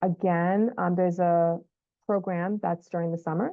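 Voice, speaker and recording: Her pitch is fairly low for a woman, with ordinary variation. She talks at a moderate pace. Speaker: school counselor. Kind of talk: informational update video for parents.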